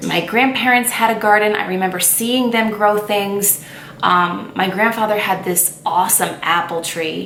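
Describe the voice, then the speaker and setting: With fairly even intonation and a medium pitch, a woman talks at a moderate pace over noticeable background noise and audible room echo. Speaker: lifestyle vlogger. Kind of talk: casual chat. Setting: on camera, home video. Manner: stuttering at times.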